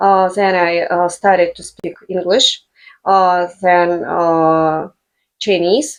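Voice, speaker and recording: Someone with a Russian accent speaks at a very slow pace with ordinary pitch variation. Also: woman, fairly low pitch for a woman. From Russian Far East, Blagoveshchensk. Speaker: language teacher, business owner. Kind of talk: casual interview. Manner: halting, many fillers.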